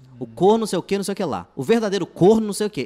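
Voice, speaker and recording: A man speaks in a high pitch. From Minas Gerais, Contagem (Belo Horizonte area). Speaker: stand-up comedian. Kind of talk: casual interview chat.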